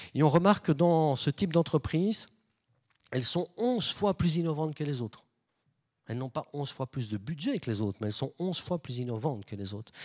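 Speaking at a moderate pace, a man with a fairly high pitch makes very wide pitch swings on a very clean recording with a silent background. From Belgium. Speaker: management consultant and lecturer. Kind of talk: public lecture. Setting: stage with audience.

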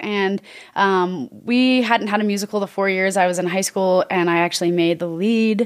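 Speaking at a moderate pace, a woman talks in an American accent. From Oregon, US. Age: 30s. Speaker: author and therapist. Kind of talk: interview conversation. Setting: studio.

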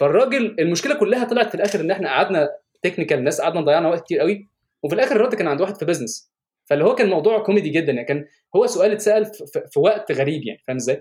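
A man talks at a very fast pace in a high voice. His intonation is lively. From Egypt. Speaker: software engineer. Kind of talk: casual interview.

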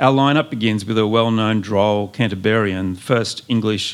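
In a very clean recording with a silent background, a man with a normal speaking voice talks at a moderate pace, his fairly low pitch held in fairly even intonation. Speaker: poet. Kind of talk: poetry reading to a live audience. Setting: live bookshop event with audience.

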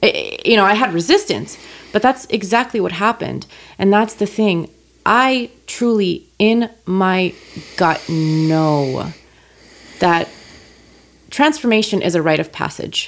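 A woman with a medium pitch and lively intonation talks at a fairly slow pace with long, frequent pauses. The recording is very clean, with a silent background. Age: 30s. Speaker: life coach. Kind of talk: casual chat. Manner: animated.

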